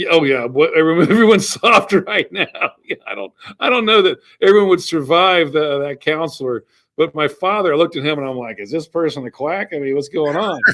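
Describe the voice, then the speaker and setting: A man speaks at a fairly quick pace in a plain, everyday voice, pitched fairly high with lively intonation and big swings in loudness. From US South, Georgia. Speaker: entrepreneur and author. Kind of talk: interview. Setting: airport, remote call. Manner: repeats words, some false starts.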